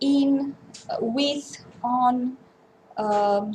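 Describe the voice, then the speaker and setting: A woman speaks with a Romanian accent and ordinary pitch variation. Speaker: linguist researcher. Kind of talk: conference talk. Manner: halting.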